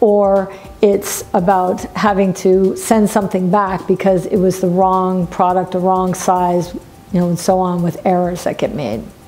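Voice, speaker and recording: Faint music plays in the background as a woman speaks at a fairly slow pace in a monotone, flat intonation. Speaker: business coach. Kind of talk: talking-head business vlog. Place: office.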